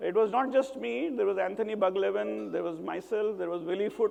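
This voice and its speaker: A man talks at a fairly quick pace. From northern India (Varanasi/Ghazipur, Uttar Pradesh). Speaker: social entrepreneur, impact investor. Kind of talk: TED-style talk.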